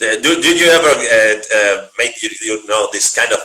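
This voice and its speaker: A man with a Spanish accent at a moderate pace, over noticeable background noise. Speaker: interviewer. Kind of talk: interview. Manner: halting.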